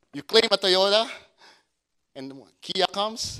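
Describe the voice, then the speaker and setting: In a non-native accent, a man speaks at a high pitch with a bright, sharp tone, in a dry, close sound with no echo. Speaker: pastor. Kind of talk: sermon.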